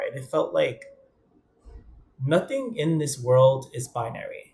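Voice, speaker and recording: A man speaks with a New York accent at a fairly slow pace. His voice is somewhat breathy. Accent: New York (Bronx). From New York, the Bronx. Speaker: vlogger. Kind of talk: personal vlog monologue.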